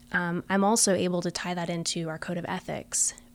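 A woman's fairly low voice with an American accent and fairly even intonation, a normal speaking voice. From Florida. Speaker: music therapy professor. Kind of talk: interview.

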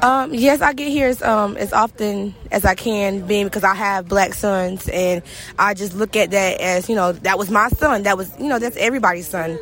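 Over noticeable background noise, a woman in a Southern US accent talks at a moderate pace and medium pitch, with ordinary pitch variation and hardly any pauses. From Brunswick, Georgia. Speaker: victim's high school classmate. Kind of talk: interview. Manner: halting.

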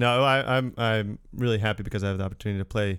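A man's fairly low, unremarkable speaking voice with fairly even intonation, in a very clean recording over a silent background. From Connecticut. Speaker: opera singer. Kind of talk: casual chat.

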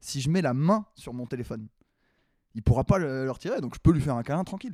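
With an ordinary speaking voice, a man talks at a fairly quick pace, his fairly high pitch carried by lively intonation. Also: dry, close sound with no echo. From Paris. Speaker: comedian. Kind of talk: casual chat.

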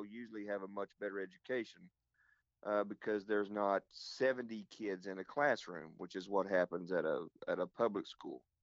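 A man with an Oklahoma accent speaks at a moderate pace in a fairly low pitch, his intonation fairly even and the sound dry and close with no echo. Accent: Oklahoma Southern US. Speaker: pastor. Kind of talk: casual interview. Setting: phone call.

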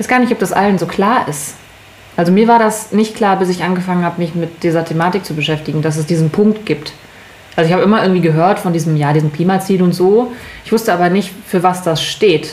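Through noticeable background noise, a woman speaks at a very fast pace and a medium pitch with ordinary pitch variation. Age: 30s. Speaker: podcast co-host. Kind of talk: casual chat.

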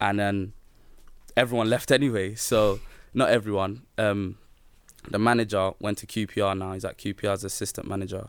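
With a London accent, a man speaks at a fairly quick pace with long, frequent pauses, a fairly low pitch and monotone, flat intonation, on a very clean recording with a silent background. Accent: London Multicultural English. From south London (Peckham), Nigerian heritage. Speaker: professional footballer. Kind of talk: casual chat.

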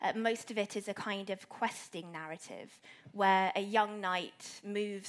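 Pitched in the middle range, this woman has an ordinary speaking voice and keeps her intonation fairly even. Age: 20s. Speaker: medieval literature academic. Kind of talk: panel discussion. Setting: live event with audience.

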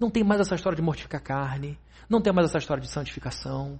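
A man's speech races at a very fast pace, his intonation lively throughout. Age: 40s. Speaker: pastor. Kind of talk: sermon.

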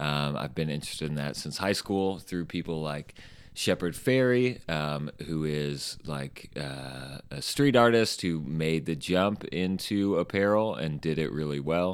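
A man speaks with a Midwestern American accent, his pitch very deep and low. He moves at a fairly slow pace with hardly any pauses. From Indiana, Bluffton near Fort Wayne. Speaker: t-shirt company owner and designer. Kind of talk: interview conversation. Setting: studio.

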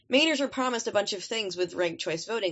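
Ordinary pitch variation runs through this woman's voice. She speaks at a very fast pace. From Maine. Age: 20s. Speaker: conservative guest. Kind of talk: casual political discussion.

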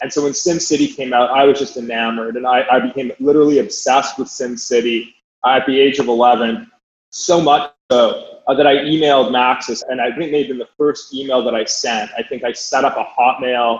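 The speaker has a normal speaking voice, with ordinary pitch variation and a fairly quick pace. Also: man, medium pitch for a man. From Canada, Calgary. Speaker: venture capital investor. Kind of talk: casual interview.

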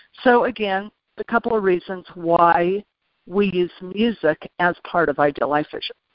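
A woman's unremarkable speaking voice at medium pitch, with ordinary pitch variation and a moderate pace. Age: 50s. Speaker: motivational speaker. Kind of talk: teleconference interview.

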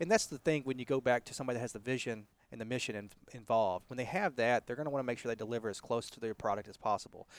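A man with a Texas accent talks at a very fast pace and a medium pitch, in a dry, close sound with no echo. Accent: Southern US (Texas). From US South, Texas. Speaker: fitness franchise co-founder. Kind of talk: interview. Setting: outdoors in a park.

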